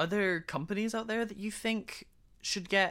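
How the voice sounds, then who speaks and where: Animated in tone, a woman speaks at a moderate pace with vocal fry. The recording is very clean, with a silent background. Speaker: podcast co-host. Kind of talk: casual chat. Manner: animated, banter.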